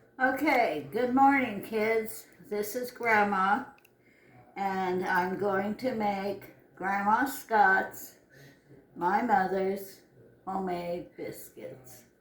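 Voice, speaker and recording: A woman's medium-pitched voice at a very slow pace, with ordinary pitch variation, long, frequent pauses and noticeable background noise. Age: 80s+. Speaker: home cook, grandmother. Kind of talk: cooking tutorial. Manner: casual, conversational.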